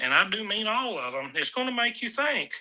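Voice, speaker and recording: Raising and projecting his voice, a man speaks in a bright, sharp tone with very wide pitch swings. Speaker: truck driver and freight business owner. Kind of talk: casual interview at a trade show livestream.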